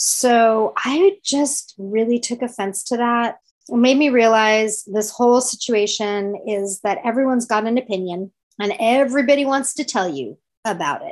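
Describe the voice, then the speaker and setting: A woman in an ordinary speaking voice talks at a moderate pace, her pitch fairly high and her intonation lively. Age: 50s. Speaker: podcast host. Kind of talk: casual interview.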